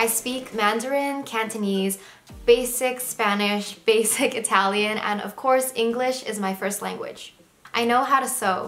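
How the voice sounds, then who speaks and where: The speech moves at a fairly slow pace with fairly even intonation, against noticeable background noise. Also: woman, fairly high pitch for a woman. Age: 20s. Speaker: lifestyle vlogger. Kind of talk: casual vlog monologue.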